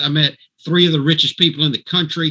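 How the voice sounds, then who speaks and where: With an animated tone, a man speaks in a fairly high pitch with ordinary pitch variation. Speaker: network marketing promoter. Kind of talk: sales pitch. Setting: video call.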